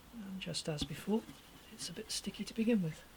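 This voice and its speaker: A woman of medium pitch talks at a moderate pace with fairly even intonation. Noticeable background noise can be heard. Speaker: hobby luthier restoring a guitar. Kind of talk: tutorial. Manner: mumbling.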